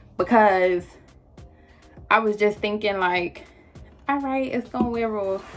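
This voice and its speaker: Someone speaks at a moderate pace with lively intonation while music plays in the background. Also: woman. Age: 20s. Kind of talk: storytime talk to camera. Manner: casual, animated, slangy.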